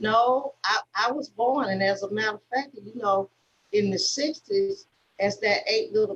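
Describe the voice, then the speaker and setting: A woman speaks in a fairly high, somewhat breathy voice with an Alabama accent. Her pace is fairly slow and her pitch varies an ordinary amount. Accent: Southern US (Alabama). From US South, Selma, Alabama. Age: 60s. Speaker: civil rights activist. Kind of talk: conversation. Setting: video call. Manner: halting, many fillers and repeats.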